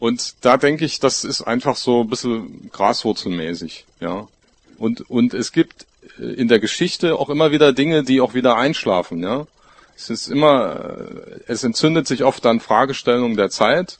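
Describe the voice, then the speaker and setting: With a normal speaking voice, a man talks at a moderate pace and medium pitch, using lively intonation. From Görlitz, Saxony (eastern Germany). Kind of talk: panel discussion.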